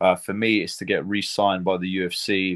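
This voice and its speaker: A British accent on a very clean recording with a silent background. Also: man. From Britain. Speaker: MMA fighter. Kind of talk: interview.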